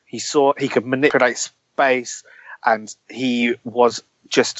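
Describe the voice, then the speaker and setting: This man has a medium pitch and a normal speaking voice. His intonation stays fairly even. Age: 20s. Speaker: football podcaster. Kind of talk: casual chat.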